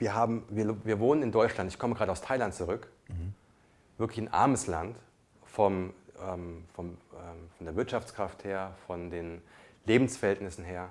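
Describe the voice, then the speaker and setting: At a moderate pace, a man speaks with a fairly low pitch and ordinary pitch variation, leaving long, frequent pauses. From came to Germany as a child refugee. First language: not German (speaking German). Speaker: podcast co-host. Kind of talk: casual chat.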